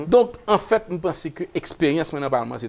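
A man talks at a moderate pace with a fairly high pitch and vocal fry. His pitch swings very widely. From Haiti. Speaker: politician. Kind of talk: talk show interview. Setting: studio. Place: studio. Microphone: lapel.

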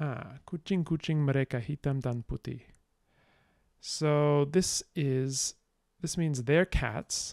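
Speaking at a very slow pace, a man of fairly high pitch leaves long, frequent pauses and uses ordinary pitch variation. The sound is dry with no echo, over a quiet background. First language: English, not Indonesian. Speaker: language-learning youtuber. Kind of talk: live stream gameplay commentary. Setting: live stream. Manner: casual, thinking aloud with hesitations. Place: home room.

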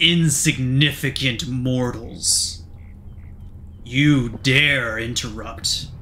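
Over clear background noise, a man puts on a rumbling character voice at a medium pitch. He speaks at a very slow pace. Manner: malicious, menacing.

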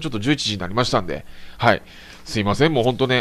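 Vocal fry runs through this man's voice. He speaks at a very fast pace. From Japan, Tokushima Prefecture. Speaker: motorsport live streamer. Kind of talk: casual solo live-stream talk. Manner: polite, filler-heavy (えー, あのー, ね).

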